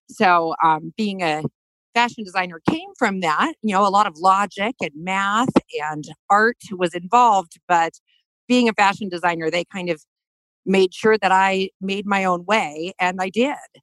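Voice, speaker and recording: A woman with a normal speaking voice and an American accent, medium pitch, ordinary pitch variation and a fairly slow pace, in a dry, close sound with no echo. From US, Denver, Colorado. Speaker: fashion designer. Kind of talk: interview. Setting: studio.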